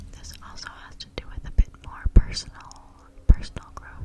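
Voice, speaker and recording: Whispering through noticeable background noise is a woman. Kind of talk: personal growth talk with affirmations, casual talk to camera. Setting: outdoors noise in background, neighbors' children and music. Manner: soft-spoken, ASMR-style, reflective.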